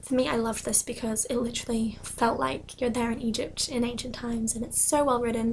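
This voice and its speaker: A soft-spoken woman at a fairly quick pace, with monotone, flat intonation. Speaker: book vlogger. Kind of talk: casual talk to camera.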